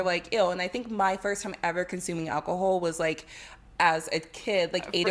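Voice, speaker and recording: A woman speaks with a New York accent. Her intonation is fairly even. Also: medium pitch for a woman, moderate pace. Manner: casual, uses "like" often.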